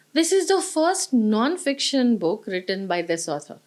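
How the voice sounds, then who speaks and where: A woman speaks with a Marathi accent at a fairly slow pace. The recording is very clean, with a silent background. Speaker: book reviewer. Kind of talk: book review monologue.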